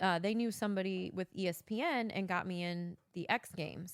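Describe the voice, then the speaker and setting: A woman with a Missouri accent, fairly low-pitched with fairly even intonation, in a dry, close recording with no echo. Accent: Midwestern US, Missouri. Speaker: podcast co-host, former event producer. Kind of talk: casual chat. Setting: home basement. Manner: clear enunciation, good inflection.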